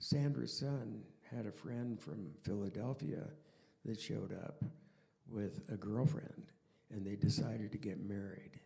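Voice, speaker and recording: A man with a fairly low pitch and a dark, mellow tone talks at a fairly slow pace with vocal fry. His intonation is lively, and he leaves long, frequent pauses. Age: 80s+. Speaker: artist and friend on a panel. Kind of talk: panel discussion anecdote.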